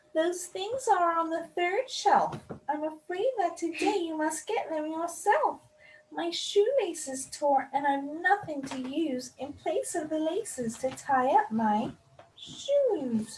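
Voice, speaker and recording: In a put-on character voice, a female-sounding speaker talks at a fairly slow pace with an extremely high pitch. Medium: read story.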